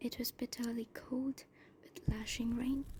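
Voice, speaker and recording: Whispering softly, a woman speaks at a fairly slow pace. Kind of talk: ASMR book reading, soft-spoken. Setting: bonfire ambience in background. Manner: soft-spoken, whispery.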